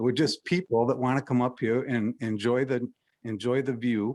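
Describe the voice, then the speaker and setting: Here is a man with a plain, everyday voice at medium pitch and ordinary pitch variation. He keeps a moderate pace on a very clean recording with a silent background. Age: 60s. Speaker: member of the public at hearing. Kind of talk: public comment.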